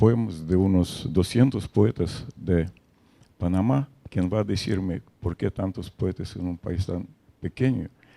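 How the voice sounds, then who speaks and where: Spoken at a very slow pace in a Russian accent, the voice has a dark, mellow tone and ordinary pitch variation, with a dry, close sound and no echo. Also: man. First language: Russian (speaking Spanish). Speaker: poet and translator. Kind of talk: interview. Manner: halting, many fillers.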